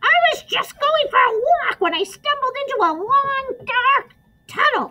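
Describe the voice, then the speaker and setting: Shouting in a squeaky, put-on character voice, a woman hits an extremely high pitch with lively intonation at a moderate pace. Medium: read story. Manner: shouting, muffled from inside an ear.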